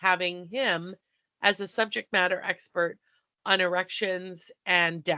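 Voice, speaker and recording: The voice has a bright, sharp tone. Its pace is fairly slow. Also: woman. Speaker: podcast co-host. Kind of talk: casual chat.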